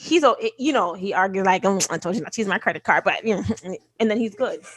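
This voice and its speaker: Her tone animated, a woman speaks at a fairly high pitch. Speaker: podcast co-host. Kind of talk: casual chat. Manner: fast.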